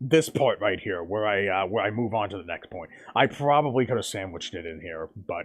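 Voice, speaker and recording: A man talks at a fairly quick pace in a fairly low pitch. His intonation is lively, and his loudness swings widely. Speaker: gaming streamer. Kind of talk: live stream commentary. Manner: halting, many fillers; fast.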